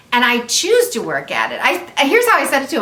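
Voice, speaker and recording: Over noticeable background noise, a woman speaks in a raised, projected voice with very wide pitch swings. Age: 60s. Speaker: channel owner's mother. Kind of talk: casual chat. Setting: home video chat over wine.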